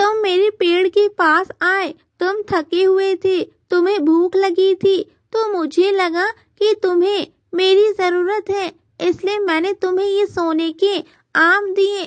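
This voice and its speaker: A female-sounding voice does a cartoonish character at an extremely high pitch and a fairly slow pace. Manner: gentle, earnest.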